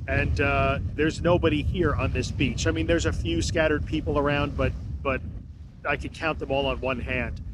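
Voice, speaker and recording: A man talks at a fairly quick pace. The sound is dry with no echo, though noticeable background noise comes through. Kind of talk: casual podcast monologue. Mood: calm, reflective. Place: beach. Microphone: phone near.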